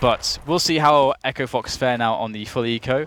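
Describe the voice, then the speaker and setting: A man speaks with an English accent. His pitch is medium with ordinary variation. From England. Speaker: esports commentator. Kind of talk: live commentary. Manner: animated.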